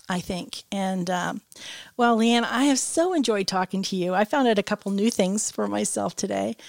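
On a very clean recording with a silent background and a dry, close sound with no echo, a normal speaking voice with an American accent moves at a moderate pace with ordinary pitch variation. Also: woman. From Michigan. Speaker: company podcast host, tourism director. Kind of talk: scripted narration; casual interview.

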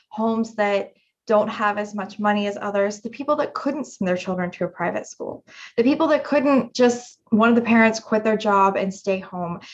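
This woman has an unremarkable speaking voice with an American accent. Her pitch sits fairly high and varies in an ordinary way. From West Virginia. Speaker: political candidate and restaurant business owner. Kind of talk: interview.

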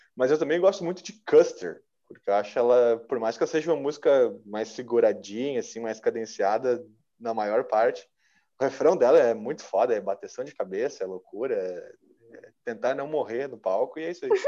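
Over a quiet background, a man speaks at a moderate pace. His loudness swings widely. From Novo Hamburgo, Rio Grande do Sul, Brazil. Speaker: rock musician and singer. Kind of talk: casual interview chat.

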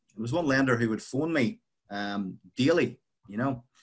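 Here a man talks at a moderate pace with lively intonation. His pitch sits in the medium range. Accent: Northern Irish. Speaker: property investor. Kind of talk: casual interview chat.

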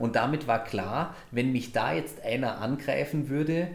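A man is heard with audible echo from the room and noticeable noise behind him. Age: 40s. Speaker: podcast host. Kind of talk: casual chat. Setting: recorded in a cigar shop.

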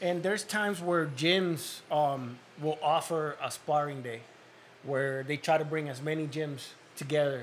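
A man talks at a fairly slow pace in a normal speaking voice. His pitch sits fairly high and varies in an ordinary way. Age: 40s. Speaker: cut man and boxing coach. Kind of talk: casual chat.

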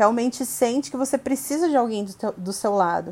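Lively intonation carries a plain, everyday voice along at a moderate pace. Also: woman. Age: 30s. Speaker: marketing professional. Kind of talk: casual interview.

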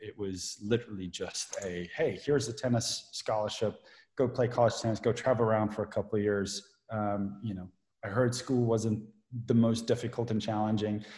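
This man's voice is dark and mellow, somewhat breathy, and medium in pitch. He speaks at a moderate pace in a flat monotone against a quiet background. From South Africa. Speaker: privacy lawyer. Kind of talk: casual chat.

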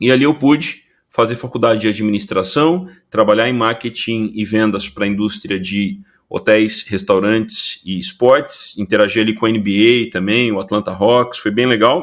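With an unremarkable speaking voice, a man talks at a moderate pace in a medium pitch with ordinary pitch variation, captured in a very clean recording against a silent background. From Brazil. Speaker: innovation consultant. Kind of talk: interview.

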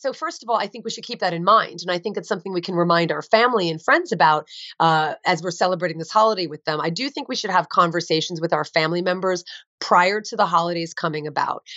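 Talking very fast with an American accent, a woman at a fairly low pitch shows ordinary pitch variation and big swings in loudness. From US Northeast, New Jersey. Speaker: vegan author and advocate. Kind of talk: interview.

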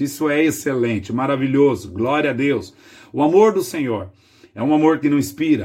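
A man with an ordinary speaking voice and a fairly high pitch talks at a moderate pace against a quiet background. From Brazil, Greater São Paulo. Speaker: pastor. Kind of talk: devotional sermon.

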